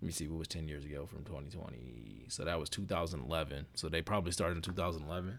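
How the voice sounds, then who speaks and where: Very fast and with hardly any pauses, a man speaks at a very deep, low pitch with vocal fry and ordinary pitch variation, and the room echo is audible. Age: 30s. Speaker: podcast host. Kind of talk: casual solo monologue. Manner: rambling with fillers.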